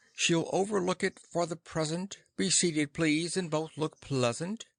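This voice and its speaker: Against a quiet background, a put-on character voice moves at a moderate pace in a sing-song way. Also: man, high pitch for a man. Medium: read story. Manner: pompous, sing-song verse.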